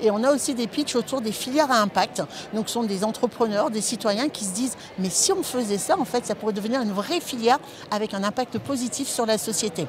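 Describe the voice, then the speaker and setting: Against noticeable background noise, a woman talks at a fairly quick pace with ordinary pitch variation, the sound dry with no echo. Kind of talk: interview answer. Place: hall. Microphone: lapel.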